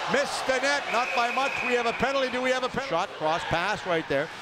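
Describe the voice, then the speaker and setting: Over noticeable background noise, a man speaks at an extremely high pitch in a raised, projected voice. His excited, animated tone swings very widely in pitch at a fairly quick pace. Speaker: hockey play-by-play announcer. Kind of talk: live commentary. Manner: fast, excited play-by-play calling; animated, with punchy goal calls.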